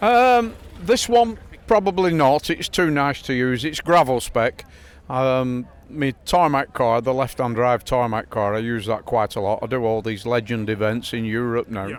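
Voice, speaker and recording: A man's voice sits at a medium pitch and varies in an ordinary way. He keeps a moderate pace. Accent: northern English. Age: 60s. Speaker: classic rally car owner. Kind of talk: casual chat.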